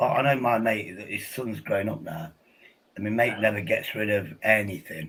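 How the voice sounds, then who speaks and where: With an English accent, a man speaks at a moderate pace in a fairly low pitch, using ordinary pitch variation. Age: 50s. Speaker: podcast host. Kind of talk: casual chat.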